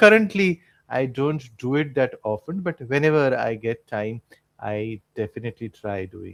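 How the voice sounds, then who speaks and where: A man with a Marathi accent talks at a moderate pace. The sound is dry and close with no echo, over a quiet background. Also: medium pitch for a man, lively intonation, big swings in loudness. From Mumbai, India. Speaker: English tutor. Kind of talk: casual chat.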